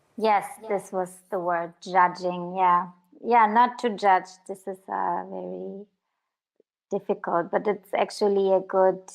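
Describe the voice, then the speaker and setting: A woman with a non-native accent speaks at medium pitch and a fairly slow pace. Her intonation is monotone and flat, and the background is quiet. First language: not English. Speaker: filmmaker. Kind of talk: interview. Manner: halting.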